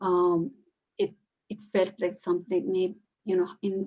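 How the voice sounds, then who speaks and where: A woman speaks with a Bengali accent. Her intonation is flat and monotone. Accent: Indian English (Bengali). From India, West Bengal (Calcutta). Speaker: PhD student in adult education. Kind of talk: academic group discussion. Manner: halting, many fillers.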